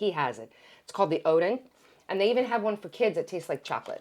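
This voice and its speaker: A woman with a Greek accent speaks in an animated tone with lively intonation. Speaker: podcast host. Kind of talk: casual chat with sponsor plug.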